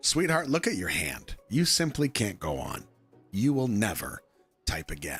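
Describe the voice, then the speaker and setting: Faint music plays behind a man doing a put-on character voice at medium pitch and a moderate pace. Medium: game stream.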